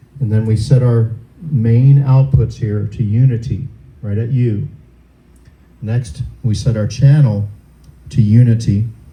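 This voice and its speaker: Somewhat breathy and dark, mellow in tone, a man speaks at a medium pitch and a fairly slow pace, with fairly even intonation, long, frequent pauses, and audible room echo. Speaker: sound system instructor. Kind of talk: tutorial. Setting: room with wood, close to stage.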